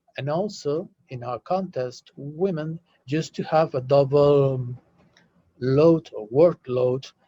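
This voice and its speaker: Speaking at a very slow pace with a Spanish accent, a man has a dark, mellow, somewhat breathy tone and a fairly high pitch for a man with ordinary pitch variation. The sound is dry and close, with no echo. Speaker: UNESCO delegate / panelist. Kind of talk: webinar panel discussion. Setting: video call. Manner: halting, many fillers.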